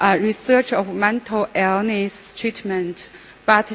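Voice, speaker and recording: With noticeable noise in the background, the words arrive very slowly. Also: woman. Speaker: psychiatrist. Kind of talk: conference lecture. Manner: halting.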